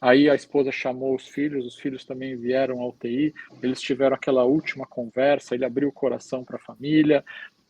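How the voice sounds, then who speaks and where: Monotone, flat intonation with hardly any pauses, in a Brazilian accent. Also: man, medium pitch for a man. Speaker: hospital chaplain. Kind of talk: podcast interview, storytelling. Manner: hesitant, many fillers.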